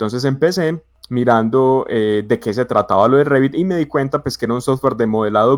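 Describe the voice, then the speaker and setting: In a dry, close recording with no echo, a man speaks with an Antioquian accent at a very fast pace. His pitch is medium, with ordinary pitch variation. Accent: paisa (Antioquia) Colombian Spanish. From Colombia, Medellín (paisa). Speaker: BIM consultant, civil engineer. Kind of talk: casual podcast chat. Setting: live stream. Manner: hesitant, many fillers.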